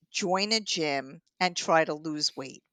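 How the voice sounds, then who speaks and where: A woman with a New York accent, fairly low in pitch with ordinary variation, in a dry, close recording with no echo and a quiet background. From Long Island, New York. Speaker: triathlon coach and author. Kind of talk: interview. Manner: animated.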